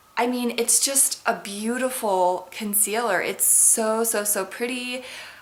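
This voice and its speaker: Amid noticeable background noise, a woman talks at a fairly slow pace with fairly even intonation. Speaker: beauty vlogger. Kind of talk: casual product review to camera. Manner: chatty, filler-heavy.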